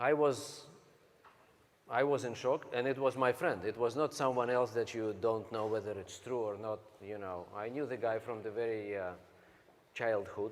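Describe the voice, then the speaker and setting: With a Russian accent, a man at medium pitch speaks with ordinary pitch variation and long, frequent pauses. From Siberia, Russia. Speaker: network marketing speaker. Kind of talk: motivational talk. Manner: slow; halting.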